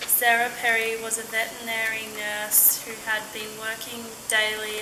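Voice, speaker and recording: A woman with an Australian accent talks at a moderate pace in a fairly high voice, with noticeable background noise. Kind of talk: scripted accent-archive passage reading.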